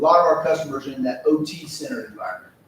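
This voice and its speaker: A man's fairly high voice at a very fast pace, with noticeable background noise. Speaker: company presenter. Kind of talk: business presentation.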